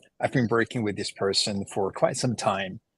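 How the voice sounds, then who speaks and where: Against a quiet background, a man's medium-pitched voice sounds dry and close, with no echo. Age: 50s. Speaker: entrepreneur and mentor. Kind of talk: podcast interview.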